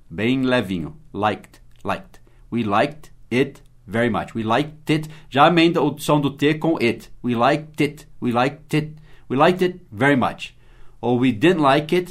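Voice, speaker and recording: At a fairly slow pace, a man talks in a fairly high voice with ordinary pitch variation. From United States. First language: English (speaking Portuguese). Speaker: English teacher. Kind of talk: language lesson.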